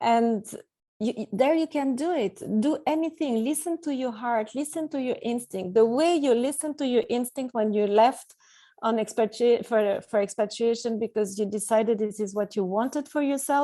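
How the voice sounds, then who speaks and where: A woman with a non-native accent, high-pitched, dark and mellow in tone, over a quiet background. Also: ordinary pitch variation, moderate pace. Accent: non-native English, audible. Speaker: expat coach and author. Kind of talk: interview. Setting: call.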